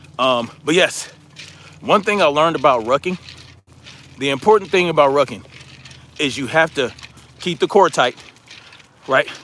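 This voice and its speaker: Long, frequent pauses break up a man's moderate pace. His intonation is lively, and background noise is noticeable. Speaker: livestream host, military veteran. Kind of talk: casual livestream chat. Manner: rambling.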